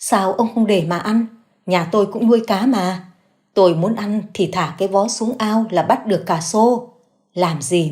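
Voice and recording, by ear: A quiet background behind someone reading aloud in a natural voice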